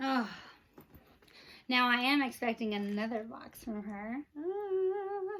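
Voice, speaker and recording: Speaking very slowly with an American accent, a woman uses a high pitch, very wide pitch swings, big swings in loudness and long, frequent pauses. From Texas. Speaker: Disney merchandise vlogger. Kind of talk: casual unboxing vlog. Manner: animated.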